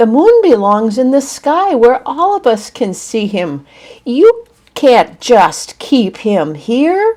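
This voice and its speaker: A female-sounding, put-on character voice pitched high, with very wide pitch swings. It moves at a very slow pace. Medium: read story. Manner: soft.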